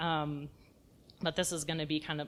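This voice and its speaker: This woman's pitch is very deep and low. She speaks with a slight Texas accent. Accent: Texas accent, kept mild. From South Texas. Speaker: edible landscape designer. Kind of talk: lecture. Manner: casual, conversational.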